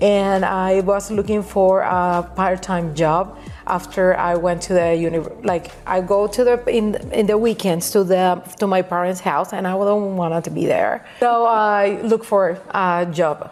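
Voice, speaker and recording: A woman with a Puerto Rican accent talks at a fairly slow pace and medium pitch, with fairly even intonation, hardly any pauses and music in the background. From Puerto Rico, Caguas. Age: 40s. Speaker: nail educator. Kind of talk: podcast interview. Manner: halting, many restarts.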